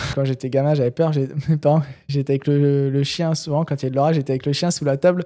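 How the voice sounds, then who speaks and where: A man speaks very fast in a Picard accent. His fairly high voice stays monotone, with flat intonation. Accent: Picard accent, recognisable. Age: 20s. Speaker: truck driver and urban explorer. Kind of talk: casual interview chat. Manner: hesitant, many fillers (euh, tu vois).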